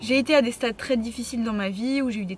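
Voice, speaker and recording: A woman races along very fast, her pitch varying in an ordinary way, with noticeable background noise around her. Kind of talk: casual Q&A vlog. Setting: in a car. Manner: hesitant, many fillers and repeated words; sometimes stutters, talks fast.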